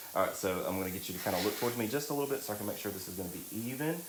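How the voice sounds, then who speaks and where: With a Southern accent, a man with a fairly low voice speaks at a very fast pace and with lively intonation, with audible room echo. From US South, Alabama (St. Clair County). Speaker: drag queen and makeup artist. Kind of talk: live makeup tutorial. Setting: live stream. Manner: chatty, talkative.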